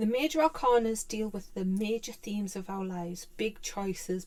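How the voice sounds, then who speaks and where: The speaker has a British accent and a fairly slow pace. Pitch varies in an ordinary way. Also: woman. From UK. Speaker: tarot teacher. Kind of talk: tutorial. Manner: halting.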